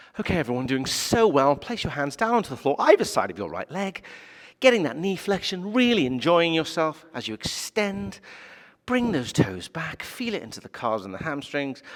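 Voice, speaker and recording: A man puts on a character voice with a fairly high pitch and a sing-song delivery at a moderate pace. His pitch swings very widely and his loudness rises and falls sharply. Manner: patronizing, sing-song, over-encouraging.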